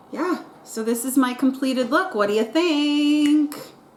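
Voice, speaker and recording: The pitch varies in an ordinary way. Noticeable background noise is present. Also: woman. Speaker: beauty vlogger. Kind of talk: casual get-ready-with-me vlog. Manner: chatty, filler-heavy.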